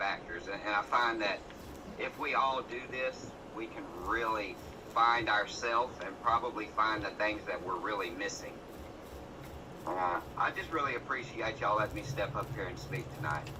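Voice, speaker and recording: Over noticeable background noise and audible room echo, a man with a strong Southern US accent talks at a moderate pace, medium pitch and ordinary pitch variation. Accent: thick Southern US. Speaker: guest speaker. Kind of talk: motivational speech.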